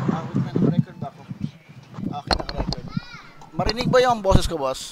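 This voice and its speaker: A high-pitched man talks very fast with lively intonation and big swings in loudness. There is noticeable background noise. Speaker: graphic design instructor. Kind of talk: tutorial. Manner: soft-spoken. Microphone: quiet mic, level raised to 80 percent.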